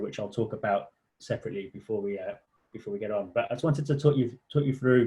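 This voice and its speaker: A man speaks with a British accent at a fairly quick pace. His voice is somewhat breathy, with ordinary pitch variation. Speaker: charity policy director presenting a website. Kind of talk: online tutorial walkthrough. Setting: online session. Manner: halting, many repetitions and fillers; fast.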